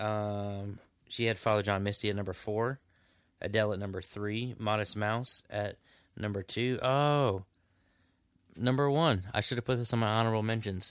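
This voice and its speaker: At a moderate pace, a man with a fairly low voice speaks with fairly even intonation and long, frequent pauses, in a very clean recording with a silent background. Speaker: podcast co-host. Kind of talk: casual chat.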